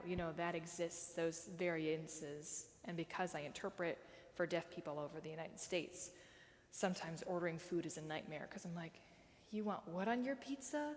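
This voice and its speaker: An unremarkable speaking voice, a woman's, fairly low in pitch, with ordinary pitch variation at a moderate pace. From US Midwest. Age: 30s. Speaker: sign language interpreter. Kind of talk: talk with audience Q&A.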